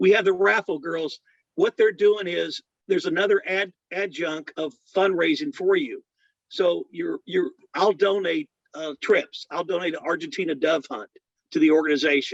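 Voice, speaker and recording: With a dry, close sound and no echo, a man speaks at a moderate pace. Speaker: auctioneer. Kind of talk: spotlight talk to an audience of veterans.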